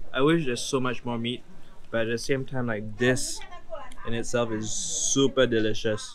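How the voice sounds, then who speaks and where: A man at a moderate pace with fairly even intonation, light background noise behind him. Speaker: travel vlogger. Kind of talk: casual vlog chat. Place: street. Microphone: phone near.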